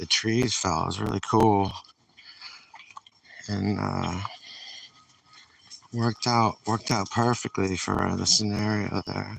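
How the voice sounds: A fairly bright tone with vocal fry and a New England accent, fairly even intonation, at a fairly slow pace. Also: man.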